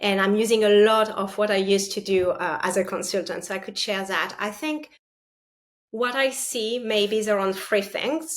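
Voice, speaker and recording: A woman with a French accent talks at medium pitch and a moderate pace, her pitch varying in an ordinary way. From France. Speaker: partner sales leader. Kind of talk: interview.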